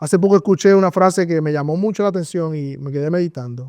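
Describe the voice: A man's fast-paced voice, fairly high-pitched, with a slightly mellow tone and ordinary pitch variation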